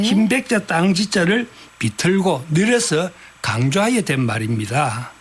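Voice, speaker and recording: Over noticeable background noise, a man with a high pitch speaks at a very slow pace with very wide pitch swings. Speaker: writer and dialect researcher. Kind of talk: radio interview answer.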